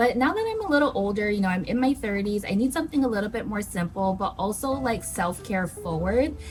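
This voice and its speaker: A woman talks at a fairly quick clip with hardly any pauses, her fairly high voice animated and her intonation lively. Music plays in the background. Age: 30s. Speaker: lifestyle vlogger. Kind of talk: casual vlog talk to camera.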